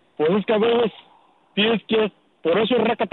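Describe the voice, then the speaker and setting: A man's voice is high in pitch. He talks at a fairly quick pace. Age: 20s. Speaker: caller. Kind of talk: casual chat.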